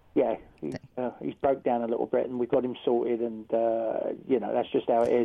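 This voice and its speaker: The pace here is fairly quick. A male voice speaks in a British accent. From United Kingdom. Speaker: American football coach. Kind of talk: casual chat. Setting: phone call.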